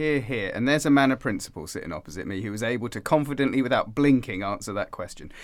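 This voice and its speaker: With an English accent and vocal fry, a man at medium pitch speaks very fast with lively intonation and hardly any pauses, in a very clean recording with a silent background. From England. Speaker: podcast host. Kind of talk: casual chat.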